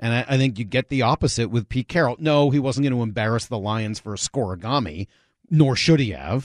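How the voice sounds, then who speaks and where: A man with a normal speaking voice talks at a fairly quick pace and medium pitch, with ordinary pitch variation, in a dry, close sound with no echo over a quiet background. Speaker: sports radio host. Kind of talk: radio interview and sports talk.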